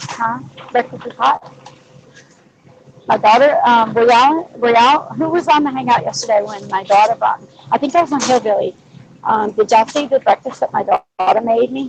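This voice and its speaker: Against noticeable background noise, a woman with an American accent speaks at a high pitch in a dry, close sound with no echo. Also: ordinary pitch variation, fairly quick pace. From Louisiana, US South. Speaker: livestream host. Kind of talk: casual chat.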